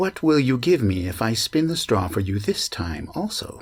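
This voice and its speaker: A man puts on a character voice at a medium pitch. He goes at a moderate pace with very wide pitch swings. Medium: read story. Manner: sly, bargaining.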